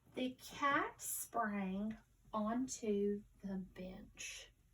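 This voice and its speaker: Somewhat breathy and fairly high-pitched, a woman speaks in a Southern US accent with ordinary pitch variation. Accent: Southern US twang. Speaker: teacher. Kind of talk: online lesson for young pupils. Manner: slow, careful enunciation.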